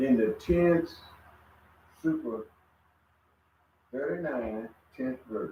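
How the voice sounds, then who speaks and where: This man talks very slowly at a medium pitch, leaving long, frequent pauses. His intonation is lively. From USA. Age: 70s. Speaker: religious study group member. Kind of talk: religious group discussion.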